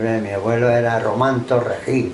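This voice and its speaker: Audible room echo and noticeable background noise fill the recording. The intonation stays fairly even. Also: man. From Andalusia, Málaga coast (Benalmádena). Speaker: oral history interviewee. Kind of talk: oral history interview.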